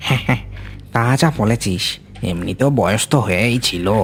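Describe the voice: A cartoonish character voice, low in pitch, moves at a moderate pace. Clear background noise runs underneath.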